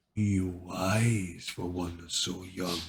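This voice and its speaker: A man's put-on character voice, very deep and low in pitch, rumbling and monotone with flat intonation, in an audible echo. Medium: read story. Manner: rumbling, solemn.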